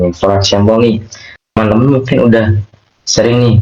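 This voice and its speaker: A man speaks with a monotone, flat intonation. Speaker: UI/UX design speaker. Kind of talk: online workshop talk. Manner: casual, chatty.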